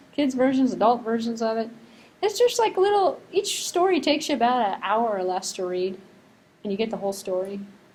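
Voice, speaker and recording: A woman with an American accent speaks at a fairly high pitch, with very wide pitch swings. Audible room echo is present. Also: fairly quick pace. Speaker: university lecturer. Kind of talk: lecture. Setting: classroom. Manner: fast; casual, conversational.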